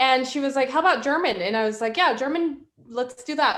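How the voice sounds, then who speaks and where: A woman moves at a fairly quick pace, with lively intonation. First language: Spanish. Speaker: guest. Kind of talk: casual chat.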